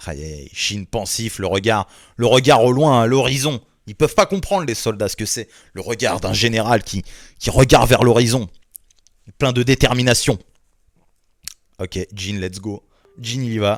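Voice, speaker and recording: At a fairly slow pace with long, frequent pauses, a man speaks in a medium pitch with ordinary pitch variation and big swings in loudness, recorded very cleanly over a silent background. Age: 20s. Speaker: manga reaction youtuber. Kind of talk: manga reaction, reading aloud with commentary. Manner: casual, hesitant with many fillers.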